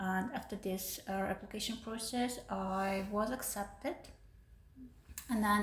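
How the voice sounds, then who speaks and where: A fairly slow delivery with noticeable background noise behind it. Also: woman. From Uzbekistan. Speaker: PhD student. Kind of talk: podcast interview. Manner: hesitant, many fillers.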